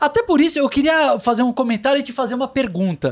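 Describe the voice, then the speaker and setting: A man is speaking. His pace is fairly quick. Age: 30s. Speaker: podcast host. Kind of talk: casual interview chat.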